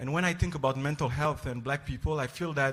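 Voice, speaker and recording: A man talks with a French accent. His pitch is fairly high and varies in an ordinary way. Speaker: psychiatry resident. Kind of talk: panel introduction. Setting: stage with audience.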